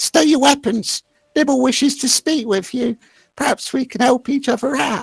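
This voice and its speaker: This put-on character voice is squeaky and high-pitched. It moves at a moderate pace. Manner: speaking with an offer of a deal.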